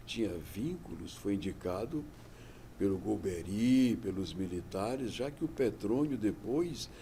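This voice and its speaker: A fairly low, somewhat breathy male voice with a dark, mellow tone and lively intonation, at a fairly slow pace amid audible room echo. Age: 70s. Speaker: interviewee. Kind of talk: interview testimony. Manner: conversational.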